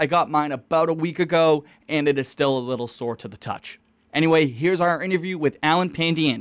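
Heard on a very clean recording with a silent background, a man with an American accent and a fairly high pitch talks at a fairly quick pace in an unremarkable speaking voice. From Eastern Massachusetts (Quincy). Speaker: student podcast host. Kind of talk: interview.

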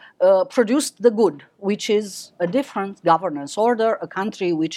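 A woman with a Romanian accent, fairly quick and with lively intonation, on a very clean recording with a silent background. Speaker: professor. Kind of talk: lecture. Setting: stage with audience.

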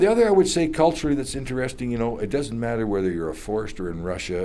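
A man talks in a Canadian accent with a dark, mellow tone. His pitch swings very widely. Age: 70s. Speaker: retired forester. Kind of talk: interview.

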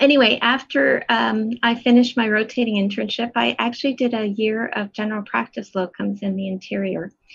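This woman has an ordinary speaking voice, fairly high in pitch, with fairly even intonation. She talks at a fairly quick pace with hardly any pauses. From western Canada, Edmonton. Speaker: colorectal surgeon. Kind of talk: interview.

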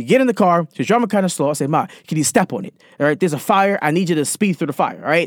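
Dry and close with no echo, a man's high, animated voice races at a very fast pace with lively intonation. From Baltimore, Maryland. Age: 20s. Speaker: podcaster. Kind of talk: casual storytelling monologue.

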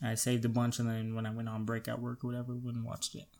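Monotone and flat in intonation, a man speaks at a medium pitch on a very clean recording with a silent background. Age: 20s. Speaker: podcast co-host. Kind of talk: casual chat.

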